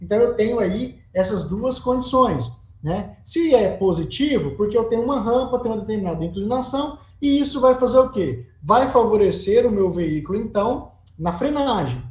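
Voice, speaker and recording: A man with a high pitch and lively intonation speaks with audible room echo. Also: moderate pace. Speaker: teacher of road engineering. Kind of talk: lecture.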